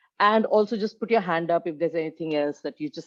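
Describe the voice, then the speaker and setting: In a dry, close sound with no echo and a quiet background, a woman uses an ordinary speaking voice, fairly low in pitch, with lively intonation. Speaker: leadership coach. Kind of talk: webinar presentation.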